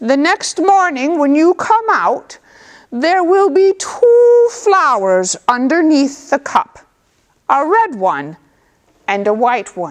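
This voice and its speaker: A female-sounding voice uses a put-on character voice with a warm tone and high pitch. It moves very slowly through very wide pitch swings. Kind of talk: folk tale storytelling. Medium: read story. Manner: warm, unhurried, knowing.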